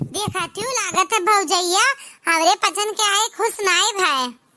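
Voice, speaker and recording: Squeaky and extremely high-pitched, a woman uses a cartoonish character voice with ordinary pitch variation. She speaks at a fairly slow pace. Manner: rustic, plaintive.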